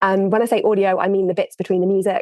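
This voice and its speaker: A woman with an English accent, in a dry, close sound with no echo. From England, Worcester. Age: 30s. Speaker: audio producer. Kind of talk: interview.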